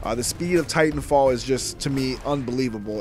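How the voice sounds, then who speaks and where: A man speaks fairly quickly while noticeable background noise and audible echo fill the room. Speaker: gaming youtuber. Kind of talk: gameplay commentary. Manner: casual, chatty.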